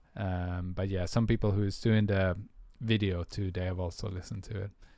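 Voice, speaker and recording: A man with a Swedish accent, very deep and low in pitch, dark and mellow in tone, monotone and flat, at a moderate pace. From Sweden. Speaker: music producer. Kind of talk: livestream tutorial chat. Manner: hesitant, many fillers.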